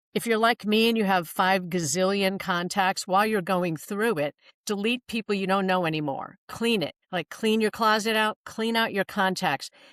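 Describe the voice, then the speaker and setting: A woman has a normal speaking voice at a medium pitch with ordinary pitch variation. She talks at a moderate pace in a dry, close sound with no echo. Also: very clean recording, silent background. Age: 60s. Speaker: professional matchmaker and dating coach. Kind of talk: podcast interview.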